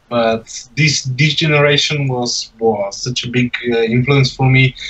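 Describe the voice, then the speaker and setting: A man with a non-native accent speaks at a moderate pace with fairly even intonation. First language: not English. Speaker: beatboxer. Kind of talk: casual chat. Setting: livestream video call.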